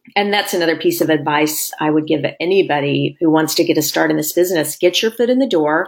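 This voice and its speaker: A woman with an American accent, very deep and low in pitch, at a very fast pace with hardly any pauses, very even loudness and ordinary pitch variation over noticeable background noise. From southwest Missouri. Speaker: TV news reporter. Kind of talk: casual chat.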